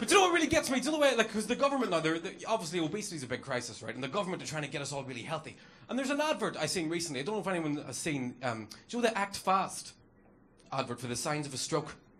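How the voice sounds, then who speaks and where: Heard with audible room echo, a man with a high-pitched voice speaks at a very fast pace and makes very wide pitch swings. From Northern Ireland. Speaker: comedian. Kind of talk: stand-up. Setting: stage with audience.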